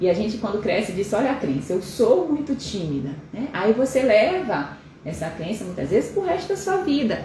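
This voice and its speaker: Very wide pitch swings from a woman at a moderate pace, with audible room echo and noticeable background noise. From Pará, northern Brazil. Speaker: endocrinologist. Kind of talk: live stream talk. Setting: live stream.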